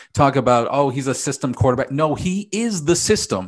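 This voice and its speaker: Over a quiet background comes a plain, everyday voice at a moderate pace. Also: man. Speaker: NFL talk show host. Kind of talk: sports talk show host.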